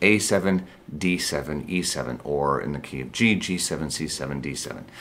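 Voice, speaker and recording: A man's voice with vocal fry. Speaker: guitar teacher. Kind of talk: tutorial. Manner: fast; casual.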